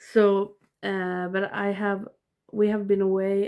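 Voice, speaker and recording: Speaking at a medium pitch, a woman with a Swedish accent keeps a monotone, flat intonation. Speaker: movie collector vlogger. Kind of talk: casual vlog. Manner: halting.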